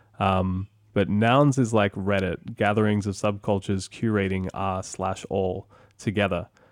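Speaking with an Australian accent, a man has a fairly low pitch and fairly even intonation at a fairly slow pace. The recording is very clean, with a silent background. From Sydney, Australia. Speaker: podcast host. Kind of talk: casual interview chat.

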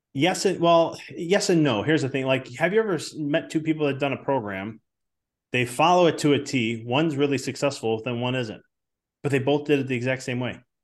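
An ordinary speaking voice with an American accent, a fairly quick pace, ordinary pitch variation and a quiet background. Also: man, fairly high pitch for a man. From Chicago. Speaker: business coach and chiropractor. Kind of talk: podcast interview.

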